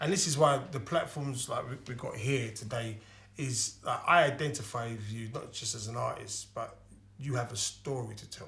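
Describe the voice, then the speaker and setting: A man with a Cockney accent talks at a moderate pace and medium pitch, with ordinary pitch variation and big swings in loudness, with audible room echo. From East London. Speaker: comedian and show host. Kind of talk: casual chat.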